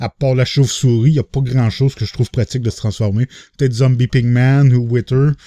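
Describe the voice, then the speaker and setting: A man with a Quebec accent speaks at a fairly quick pace and medium pitch in a dark, mellow tone. The sound is dry and close with no echo, over a quiet background. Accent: Québécois French. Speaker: gaming YouTuber. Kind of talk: let's play commentary. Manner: animated.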